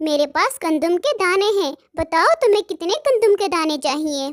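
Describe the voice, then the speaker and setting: The female-sounding voice is a cartoonish character voice at an extremely high pitch. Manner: warm, polite.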